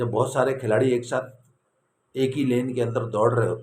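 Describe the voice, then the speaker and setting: A man with a medium pitch speaks at a moderate pace, sounding somewhat breathy. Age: 60s. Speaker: YouTube commentator. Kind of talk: opinion commentary monologue. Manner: animated.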